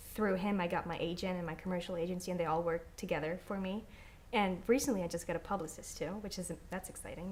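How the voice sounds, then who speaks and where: A woman with a German accent, fairly low in pitch, at a very fast pace. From Austria (Vorarlberg) and northern Italy. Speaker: actress. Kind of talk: interview. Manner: animated.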